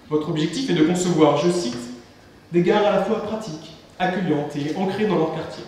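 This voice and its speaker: Over noticeable background noise and audible room echo, a man speaks at a high pitch with ordinary pitch variation. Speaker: student debate moderator. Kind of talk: scripted introduction of guests.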